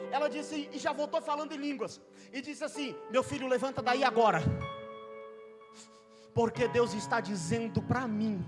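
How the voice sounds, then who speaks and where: With music in the background, a man talks at a moderate pace in an extremely high pitch marked by very wide swings. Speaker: preacher. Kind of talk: sermon. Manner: impassioned.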